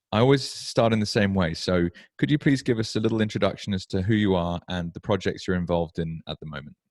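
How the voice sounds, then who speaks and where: A British accent at a very fast pace over a quiet background. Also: man, dry, close sound with no echo. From UK. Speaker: podcast host. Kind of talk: interview podcast. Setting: at home.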